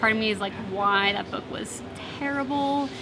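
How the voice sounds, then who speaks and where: With music in the background and audible room echo, a woman talks at a fairly slow pace with ordinary pitch variation. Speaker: debut novelist. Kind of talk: interview. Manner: halting.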